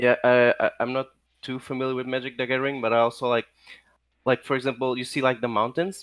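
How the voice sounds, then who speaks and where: A very fast, flat, monotone man's voice at medium pitch, with a non-native accent and a dry, close sound with no echo. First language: not English. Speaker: guest artist. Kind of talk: casual chat. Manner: halting, many fillers.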